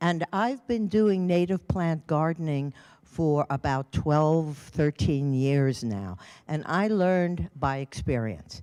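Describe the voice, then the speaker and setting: In an American accent, a dark, mellow voice with lively intonation talks at a very slow pace and very even loudness, on a very clean recording with a silent background and a dry, close sound with no echo. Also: woman, very deep, low pitch for a woman. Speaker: retired volunteer speaker. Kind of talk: public talk. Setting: public meeting with audience and microphone.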